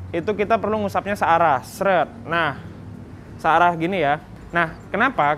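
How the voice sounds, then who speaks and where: With a bright, sharp tone and high pitch, a man speaks at a moderate pace with ordinary pitch variation over light background noise. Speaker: product demonstrator. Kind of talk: tutorial. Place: street. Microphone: lapel.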